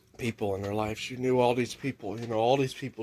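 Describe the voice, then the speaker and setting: A man talks with an American accent. His intonation stays monotone and flat. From Arizona. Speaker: vlogger. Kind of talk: casual chat. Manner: rambling, halting with fillers.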